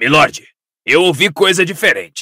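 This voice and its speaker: Using a raspy put-on character voice, a man speaks at a high pitch. His pace is moderate. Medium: read story. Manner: eager, insistent.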